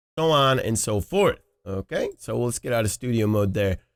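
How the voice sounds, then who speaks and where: A man talks in a plain, everyday voice with lively intonation at a moderate pace. The sound is dry and close, with no echo. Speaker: streaming tutorial youtuber. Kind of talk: tutorial. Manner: casual, with filler words.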